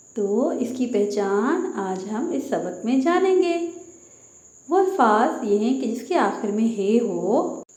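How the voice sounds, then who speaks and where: High-pitched female speech with very wide pitch swings, audible room echo and noticeable background noise. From Pakistan. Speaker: teacher. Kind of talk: lesson for children.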